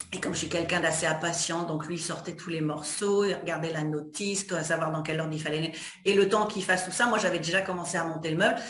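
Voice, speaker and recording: A woman with a fairly low voice and fairly even intonation talks at a very fast pace, with audible room echo and noticeable background noise. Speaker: interviewer. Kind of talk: interview.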